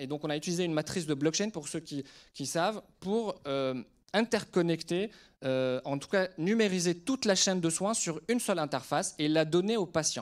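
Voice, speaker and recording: A man's high voice at a moderate pace with ordinary pitch variation, on a very clean recording with a silent background. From Lebanon. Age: 30s. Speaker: surgeon and startup CEO. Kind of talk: conference talk to an audience.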